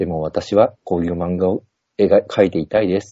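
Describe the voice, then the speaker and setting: An unremarkable speaking voice from a man, fairly low in pitch, at a moderate pace with ordinary pitch variation. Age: 50s. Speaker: poet and comedian. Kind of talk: casual chat. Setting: video call.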